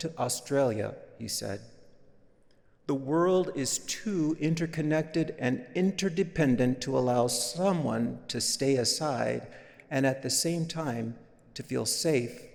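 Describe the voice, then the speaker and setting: A man's fairly high voice, an unremarkable speaking voice, with ordinary pitch variation. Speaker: guest preacher. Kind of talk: sermon delivered at a worship service.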